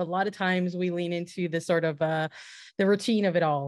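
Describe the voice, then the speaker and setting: A woman talks with fairly even intonation, the sound dry with no echo and the background quiet. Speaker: soccer podcast host and sports writer. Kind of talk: interview. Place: home room. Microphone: studio mic.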